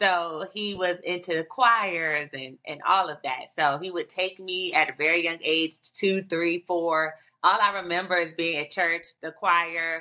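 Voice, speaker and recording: A woman with an American accent speaks in an ordinary speaking voice at a fairly low pitch, fairly slow and with hardly any pauses, her intonation fairly even. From Virginia. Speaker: singer. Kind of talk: casual interview.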